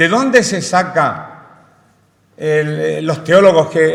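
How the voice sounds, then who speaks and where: Audible room echo fills the space. A man speaks with a high pitch and lively intonation. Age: 60s. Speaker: preacher. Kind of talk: sermon. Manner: halting.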